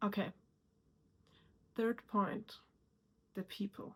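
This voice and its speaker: A woman with a non-native accent speaks at a very slow pace in a somewhat breathy voice. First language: not English. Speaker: self-improvement YouTuber. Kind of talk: motivational talk to camera.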